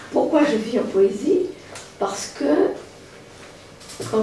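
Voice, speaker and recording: A woman speaks very slowly with a fairly high pitch and very wide pitch swings. The room echo is audible and the background noise is noticeable. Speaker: poetry speaker. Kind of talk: talk to an audience.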